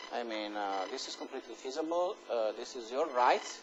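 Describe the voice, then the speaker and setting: A man's medium-pitched voice carries ordinary pitch variation as he talks at a moderate pace. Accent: Italian. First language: Italian. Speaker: university professor. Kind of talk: lecture. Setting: lecture hall with students. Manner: hesitant, many fillers.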